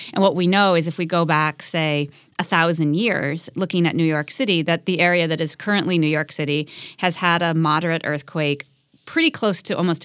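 Using a plain, everyday voice in an American accent, a woman speaks fairly low in pitch at a fairly quick pace with fairly even intonation. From US Midwest. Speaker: journalist and science writer. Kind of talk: interview. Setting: studio.

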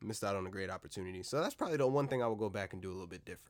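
A man with a fairly low pitch talks at a very fast pace. The recording is very clean, with a silent background. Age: 20s. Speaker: podcast host. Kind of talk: casual monologue. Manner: relaxed.

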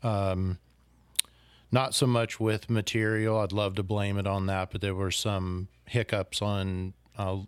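In an American accent, a man of fairly low pitch speaks at a fairly slow pace in a flat monotone, on a very clean recording with a silent background. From far northern California. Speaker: fly shop owner. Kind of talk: casual chat. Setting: sitting at a home over a beer.

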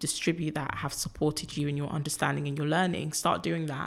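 Speaking at a fairly quick pace with a London accent, a woman uses a very deep, low pitch with vocal fry and monotone, flat intonation, in a very clean recording with a silent background. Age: 20s. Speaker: activist and filmmaker. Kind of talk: casual chat.

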